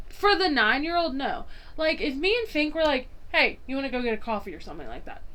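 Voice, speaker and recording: Talking at a very fast pace, a woman with a Southern US accent sounds animated in a high voice. Her pitch swings very widely, and the room echo is audible. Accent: Southern US accent, felt in back of throat. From US South. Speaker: podcast co-host. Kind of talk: casual chat.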